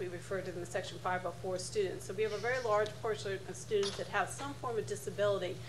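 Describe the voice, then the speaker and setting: A medium-pitched woman speaks very fast, with noticeable background noise and audible room echo. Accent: American. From northern US. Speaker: school board attorney. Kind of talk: panel talk. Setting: conference panel with audience.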